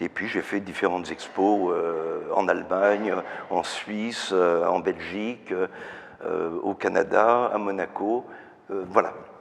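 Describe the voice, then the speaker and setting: Noticeable background noise accompanies a man speaking at a very slow pace. His voice is fairly low, his intonation fairly even. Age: 70s. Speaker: painter. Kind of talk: interview. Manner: halting, many fillers and repetitions.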